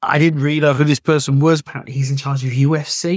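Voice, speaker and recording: A voice with a British accent, its sound dry and close with no echo. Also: man. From Britain. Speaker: travel agent and podcast host. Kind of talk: solo talk on travel tips.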